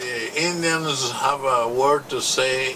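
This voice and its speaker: A man's fairly even intonation comes through noticeable background noise and audible room echo. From Costa Rica, Caribbean coast (Talamanca). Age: 60s. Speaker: local landowner. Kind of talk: interview testimony. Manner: halting.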